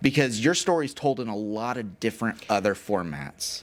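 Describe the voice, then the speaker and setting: In a normal speaking voice with an American accent, a man talks at a moderate pace and medium pitch with lively intonation, recorded very cleanly over a silent background. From Texas, Houston. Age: 40s. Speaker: podcast host. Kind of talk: casual interview. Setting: studio.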